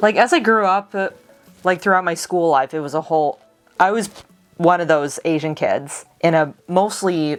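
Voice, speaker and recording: A woman's fairly low voice at a fairly slow pace with ordinary pitch variation, music in the background. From United States. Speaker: vlogger. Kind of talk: casual talk to camera.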